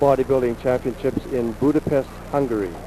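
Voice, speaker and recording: A man with a Canadian accent, medium-pitched and fairly quick, with fairly even intonation over noticeable background noise. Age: 60s. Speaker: bodybuilding champion. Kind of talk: interview. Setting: broadcast booth. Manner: halting.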